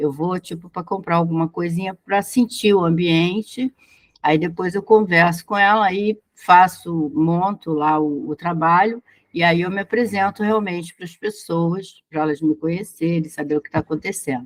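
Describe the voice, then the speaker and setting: Fairly low in pitch, a woman with an unremarkable speaking voice talks at a moderate pace with ordinary pitch variation, the sound dry and close with no echo. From Brazil. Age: 60s. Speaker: business consultant. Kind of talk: casual chat.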